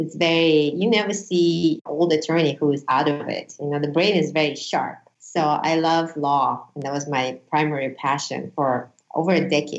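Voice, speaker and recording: Fairly even intonation in a Russian accent, at a moderate pace. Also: woman, very deep, low pitch for a woman. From Uzbekistan. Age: 40s. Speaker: business owner and former defense attorney. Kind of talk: casual interview.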